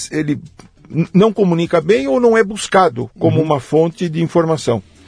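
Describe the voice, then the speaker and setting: This is a man's voice. His pitch sits fairly high. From Brazil, São Paulo state (Jundiaí area). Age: 70s. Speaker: agronomy professor. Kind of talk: interview conversation. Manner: halting, many repetitions.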